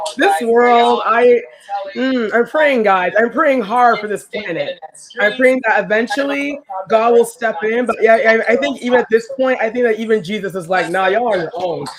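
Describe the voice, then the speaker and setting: Noticeable background noise runs under the speech. The intonation is lively, and the pace is moderate. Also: woman, fairly high pitch for a woman. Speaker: podcast co-host. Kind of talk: casual chat. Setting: live stream.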